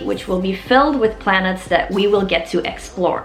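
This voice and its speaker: With a Flemish accent, a woman talks at a moderate pace. Noticeable background noise and audible room echo surround her voice. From Flanders, Belgium. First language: Dutch (Flemish). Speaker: musician and YouTuber. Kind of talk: video blog explainer.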